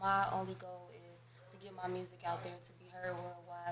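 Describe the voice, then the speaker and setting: Soft-spoken, a woman talks with audible room echo and music in the background. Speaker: rapper. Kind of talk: interview.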